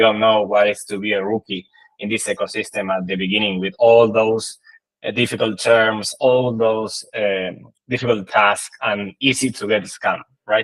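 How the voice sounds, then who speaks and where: Fairly even intonation at a moderate pace, in an Argentine accent. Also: man. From Argentina. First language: Spanish. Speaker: crypto project marketing team member. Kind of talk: conference presentation. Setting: online livestream talk. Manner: halting, many fillers.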